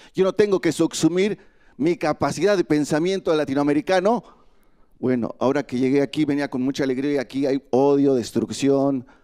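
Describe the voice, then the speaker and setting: A man with a Mexican accent speaks at a moderate pace with a fairly high pitch and ordinary pitch variation. His tone is dark and mellow, and the sound is dry and close with no echo. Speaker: migrant activist. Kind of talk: panel speech.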